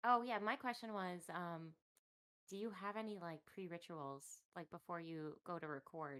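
A woman's plain, everyday voice, fairly low in pitch, with lively intonation. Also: moderate pace. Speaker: co-host. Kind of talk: casual chat.

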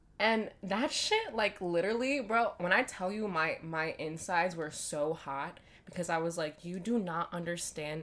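A woman talks in a plain, everyday voice at a moderate pace with hardly any pauses. Her pitch varies in an ordinary way. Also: fairly low pitch for a woman. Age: 20s. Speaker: parenting podcast co-host. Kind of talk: casual chat.

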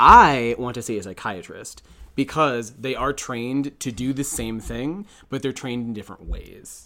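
A man speaks loudly at a moderate pace, his tone bright and sharp, with a medium pitch and ordinary pitch variation. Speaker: podcast co-host. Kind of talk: casual chat.

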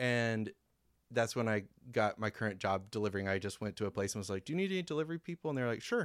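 A man with an American accent at a medium pitch, very fast, in a dry, close sound with no echo and a very clean recording with a silent background. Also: lively intonation. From US Midwest, mostly Columbia, Missouri. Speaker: neighborhood mapmaker and local enthusiast. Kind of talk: casual chat. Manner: laughs often.

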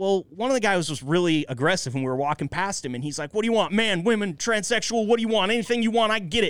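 With an American accent, a high-pitched man races along at a very fast pace with lively intonation on a very clean recording with a silent background. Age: 30s. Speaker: podcast host. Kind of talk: casual chat.

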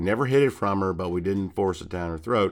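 A man's unremarkable speaking voice, fairly low in pitch, at a fairly quick pace with ordinary pitch variation. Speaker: podcast co-host. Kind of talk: casual chat. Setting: video call.

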